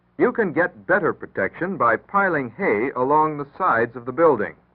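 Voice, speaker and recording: A man talks at a fairly high pitch with very wide pitch swings. Vocal fry runs through his voice. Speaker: announcer. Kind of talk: public service announcement.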